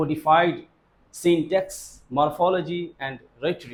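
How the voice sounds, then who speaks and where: A man speaks with a Pakistani accent. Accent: South Asian (Pakistani) English. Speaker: Islamic madrasa teacher. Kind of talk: lecture. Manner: simple deliberate speech.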